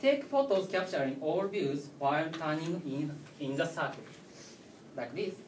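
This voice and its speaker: A man with a Japanese accent and a fairly high pitch, moderate pace, lively intonation, long and frequent pauses, and audible room echo. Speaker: tech speaker. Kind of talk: lecture. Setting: stage with audience. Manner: halting.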